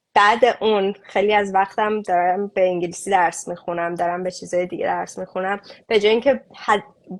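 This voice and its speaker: A woman with a Mashhadi accent, medium pitch, fairly even intonation and moderate pace, against a quiet background. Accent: Mashhadi Persian. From Iran, Mashhad. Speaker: refugee aid activist. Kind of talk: interview conversation. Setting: online live stream.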